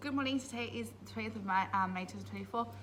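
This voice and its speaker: A woman talks with an Australian accent. The recording has audible room echo and noticeable background noise. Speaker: primary school teacher. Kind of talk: casual vlog monologue. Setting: school. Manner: hesitant, many fillers.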